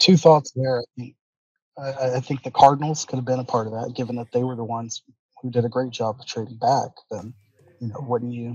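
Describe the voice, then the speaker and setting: A man speaks quietly and somewhat breathily at medium pitch and a fairly quick pace. His intonation is fairly even, but his loudness swings a lot. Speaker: podcast guest. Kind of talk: casual chat. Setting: remote from public library. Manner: subdued, quiet.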